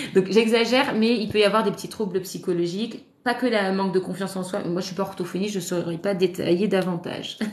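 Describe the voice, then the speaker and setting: Very fast, medium-pitched speech from a woman with hardly any pauses, over noticeable background noise. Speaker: parenting content creator, mother. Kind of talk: live stream talk. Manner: hesitant, many fillers; casual, animated.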